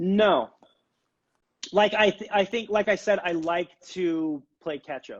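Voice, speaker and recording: Speaking at a very slow pace with long, frequent pauses, a man uses a high pitch and ordinary pitch variation. His loudness swings widely, and the sound is dry and close with no echo. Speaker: furniture maker and business owner. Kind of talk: casual interview chat. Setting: live video stream.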